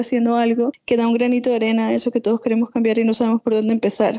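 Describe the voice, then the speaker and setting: In a dry, close recording with no echo, a woman speaks very fast at a high pitch. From Venezuela, Andes (Mérida). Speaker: entrepreneur, chocolate maker. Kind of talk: interview.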